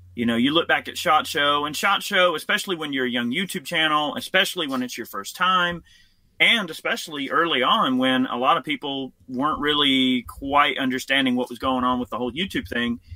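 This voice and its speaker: A man with a normal speaking voice talks fairly quickly at a fairly high pitch, with ordinary pitch variation. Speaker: gun YouTuber. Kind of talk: casual chat.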